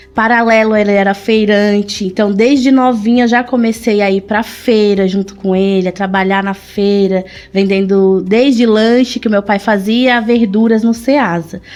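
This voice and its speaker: A woman talks at a moderate pace with hardly any pauses, her pitch medium and her intonation fairly even. Noticeable background noise runs underneath. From São Paulo, Brazil (born in Pernambuco). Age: 30s. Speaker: shoe business owner. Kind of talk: interview.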